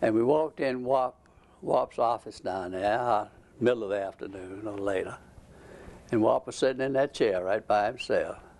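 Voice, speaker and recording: With a Georgia accent, a man talks at a moderate pace and medium pitch with ordinary pitch variation. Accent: Southern American (Georgia). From Georgia, USA. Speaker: retired ceramic engineer, Georgia Tech alumnus. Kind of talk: oral history interview answer. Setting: at home.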